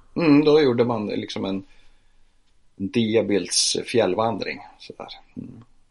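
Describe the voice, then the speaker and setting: The speech moves at a very slow pace with long, frequent pauses, ordinary pitch variation and big swings in loudness. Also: man, medium pitch for a man. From northern Sweden, Piteå. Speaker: photographer and church social worker. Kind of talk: interview.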